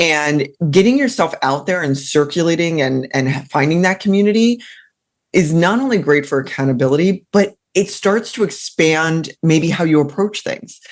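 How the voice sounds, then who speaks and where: A woman's fairly low voice with lively intonation, an animated tone and a moderate pace, in a Mid-Atlantic accent. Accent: American, Mid-Atlantic. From Maryland, Mid-Atlantic US. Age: 40s. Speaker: career coach. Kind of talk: interview conversation.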